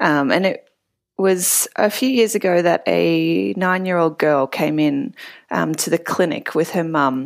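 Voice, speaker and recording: A woman speaks at a fairly slow pace in a fairly low pitch with lively intonation. The recording is very clean, with a silent background. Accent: Australian. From Australia (Melbourne). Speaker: physiotherapist. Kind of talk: storytelling interview.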